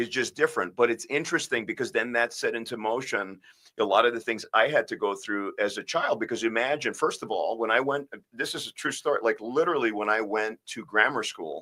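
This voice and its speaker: Moving along fairly quickly, the man speaks in a New York accent. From US, Bronx, New York. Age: 50s. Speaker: spine surgeon. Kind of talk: casual interview. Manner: halting.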